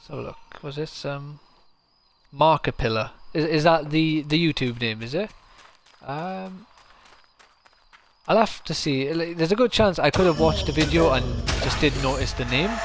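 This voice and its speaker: Long, frequent pauses break up a man's speech at a moderate pace, his fairly high voice carrying lively intonation in a South Welsh accent. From South Wales. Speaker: game streamer. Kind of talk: live gameplay commentary. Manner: casual, chatty.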